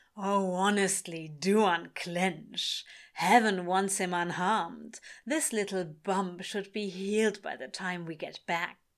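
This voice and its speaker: A female-sounding, put-on character voice drawls at a middle pitch and a fairly slow pace. The recording is very clean, with a silent background. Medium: read story. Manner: taunting, drawling, smug.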